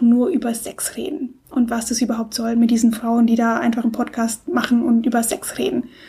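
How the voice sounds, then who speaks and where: The woman's voice sits high in pitch. Noticeable background noise runs behind her. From Germany, Stuttgart. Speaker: podcast co-host, blogger. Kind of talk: casual chat.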